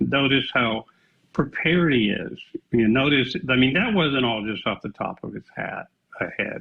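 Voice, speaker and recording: Speaking fairly slowly with an American accent, a man talks over music in the background. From Texas (Fort Worth). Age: 70s. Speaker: radio host and author. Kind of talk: interview discussion.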